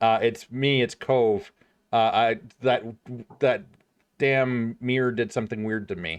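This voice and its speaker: A man's growling put-on character voice at medium pitch, fairly slow, with long, frequent pauses. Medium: actual play. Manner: insistent, flustered.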